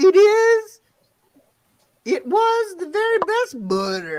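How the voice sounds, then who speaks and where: A squeaky, put-on character voice at an extremely high pitch and a very slow pace. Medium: audio drama. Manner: excitable, scattered.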